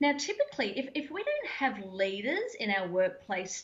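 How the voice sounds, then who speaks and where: A woman speaks with an Australian accent. Her voice is somewhat breathy. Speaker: mental health trainer and former Olympian. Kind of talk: interview. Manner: fast; animated.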